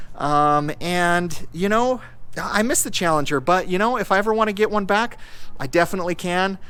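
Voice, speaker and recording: This man's voice is high with a bright, sharp tone. He moves at a moderate pace with ordinary pitch variation. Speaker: car YouTuber. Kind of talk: casual vlog talk to camera. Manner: conversational, with fillers and restarts.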